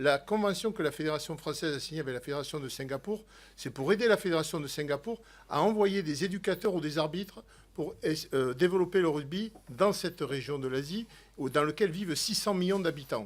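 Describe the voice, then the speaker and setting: Fairly high-pitched, a man talks at a fairly quick pace. His pitch varies in an ordinary way. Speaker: sports federation official. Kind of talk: parliamentary hearing testimony. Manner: loud.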